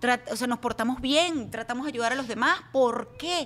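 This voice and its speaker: Moderate pace and ordinary pitch variation, over noticeable background noise. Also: woman. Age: 40s. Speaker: TV news anchor. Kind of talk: interview conversation.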